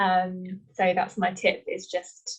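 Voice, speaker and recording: A woman speaks in an East Midlands accent, her voice somewhat breathy. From England, Leicester. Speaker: author. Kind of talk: casual chat.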